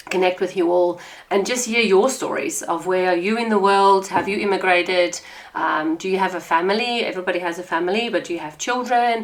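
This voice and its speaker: Speaking with a South African accent, a woman uses a warm tone, medium pitch and ordinary pitch variation at a fairly quick pace, with noticeable background noise behind her. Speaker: podcast host. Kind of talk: podcast monologue. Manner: warm, conversational.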